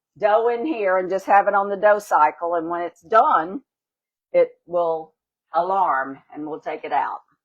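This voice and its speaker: Speaking fairly slowly in a Louisiana accent, a woman uses lively intonation and big swings in loudness. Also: medium pitch for a woman. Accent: Southern US (Louisiana). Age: 70s. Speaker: home baker demonstrating a recipe. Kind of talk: cooking demonstration, casual chat.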